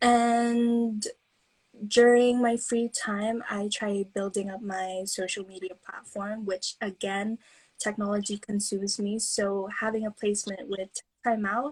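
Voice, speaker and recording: Speaking with an American accent, a woman uses monotone, flat intonation at a fairly high pitch. Her pace is fairly slow. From Philippines. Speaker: student on placement. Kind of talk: casual self-introduction. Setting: instagram live video stream.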